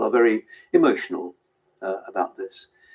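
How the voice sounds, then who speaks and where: Talking rather quickly, a man speaks with a British accent. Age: 60s. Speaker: royal correspondent. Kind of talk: news interview. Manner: hesitant with fillers.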